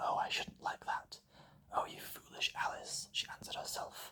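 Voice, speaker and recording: Whispering, a man speaks at a moderate pace. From British. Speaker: ASMR artist. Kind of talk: ASMR book reading. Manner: whispered.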